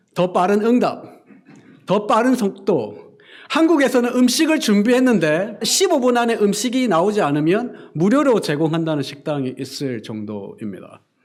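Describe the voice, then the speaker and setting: Slowish and set in audible room echo, a man's high voice makes very wide pitch swings at a fairly slow pace. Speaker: pastor. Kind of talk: sermon.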